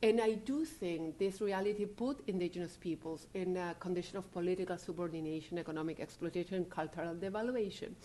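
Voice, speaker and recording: With a Spanish accent, a woman talks very fast in a dark, mellow tone with ordinary pitch variation. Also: medium pitch for a woman. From Chile. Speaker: legal scholar. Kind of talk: lecture. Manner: halting.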